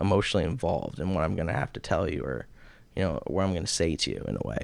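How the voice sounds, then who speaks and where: A man at a very fast pace with vocal fry, in a very clean recording against a silent background. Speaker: mental health counselor. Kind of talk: casual chat. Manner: soft-spoken.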